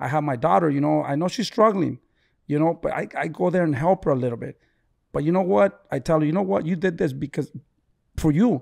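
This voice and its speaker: A man with an ordinary speaking voice talks at a fairly high pitch and a fairly quick pace in a very clean recording with a silent background. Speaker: boxing trainer, father of boxer. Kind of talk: casual chat.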